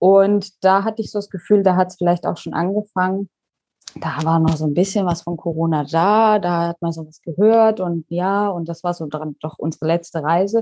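A woman with a dark, mellow tone and fairly low pitch speaks at a moderate pace with fairly even intonation. Her loudness swings widely, and the sound is dry and close with no echo. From Baden-Württemberg, Pforzheim. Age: 30s. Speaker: digital nomad and online coach. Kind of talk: interview.

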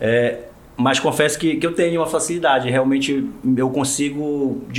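A fairly high-pitched man's voice with fairly even intonation over noticeable background noise. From Marajó, Pará, Brazil. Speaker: state public security secretary, federal police delegate. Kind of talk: interview.

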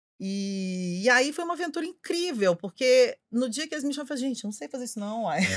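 A woman's high-pitched voice at a very fast pace, with very wide pitch swings and hardly any pauses. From Belo Horizonte, Minas Gerais, Brazil. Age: 50s. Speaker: advertising executive. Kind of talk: casual chat.

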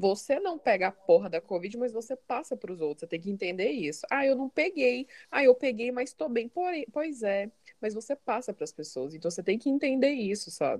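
A woman speaks at a fairly quick pace in a fairly high pitch. Her pitch swings very widely, and the sound is dry and close with no echo. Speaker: podcast co-host. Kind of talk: casual chat.

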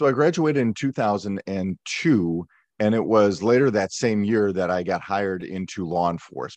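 An ordinary speaking voice from a man with an American accent, fairly low in pitch, at a moderate pace with lively intonation, against a quiet background. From US Midwest, Milwaukee, Wisconsin. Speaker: police negotiator. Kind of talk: interview conversation.

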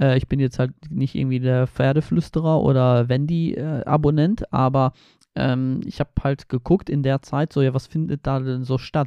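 The tone is dark and mellow, the intonation fairly even, and the sound dry and close with no echo. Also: man. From Poland, Baltic coast. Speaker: travel podcaster. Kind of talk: casual monologue. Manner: casual with many fillers.

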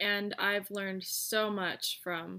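A woman's bright, sharp voice in a monotone, flat delivery, on a very clean recording with a silent background. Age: 20s. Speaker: horse riding instructor and fox hunt staff. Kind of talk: solo podcast monologue.

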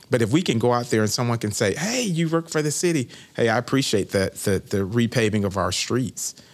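With an American accent and an ordinary speaking voice, a man talks at a medium pitch and a fairly quick pace. His intonation is lively, with hardly any pauses. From Florida, Winter Haven. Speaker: city manager. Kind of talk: interview.

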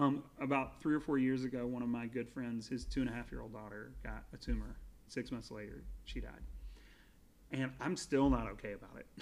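In an American accent, a man with an ordinary speaking voice talks at a medium pitch and a fairly quick pace. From US South. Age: 30s. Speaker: podcast guest, Pixar fan. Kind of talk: casual chat.

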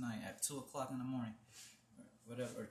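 Noticeable background noise sits behind a man who talks at a very fast pace. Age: 20s. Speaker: podcast host. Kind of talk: casual chat.

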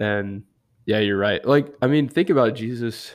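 The man's voice sits at a medium pitch and varies in an ordinary way. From Knoxville, Tennessee. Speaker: campus ministry intern. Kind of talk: casual interview.

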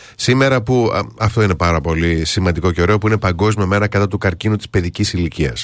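On a very clean recording with a silent background, a man with a fairly low pitch and ordinary pitch variation talks at a very fast pace. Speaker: radio host. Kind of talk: casual chat.

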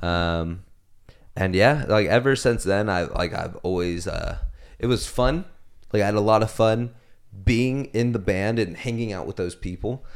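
This is a man with a normal speaking voice, pitched fairly low. He talks at a moderate pace with ordinary pitch variation. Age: 20s. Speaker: podcast co-host. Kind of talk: casual chat.

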